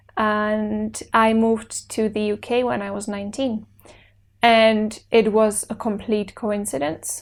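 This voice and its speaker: A woman with a Czech accent speaks at a fairly high pitch with fairly even intonation, captured on a very clean recording with a silent background. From Czech Republic, Brno. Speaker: actor. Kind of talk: interview.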